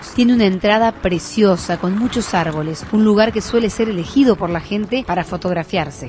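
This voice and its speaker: Against noticeable background noise, a woman speaks fairly quickly with hardly any pauses, at a medium pitch with ordinary pitch variation. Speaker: radio/streaming host and professional announcer. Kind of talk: documentary-style regional travel narration to camera.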